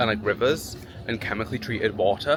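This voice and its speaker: A man's medium-pitched voice is heard over music in the background. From Britain. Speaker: travel vlogger. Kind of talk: casual vlog chat. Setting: outdoors at theme park. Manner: animated.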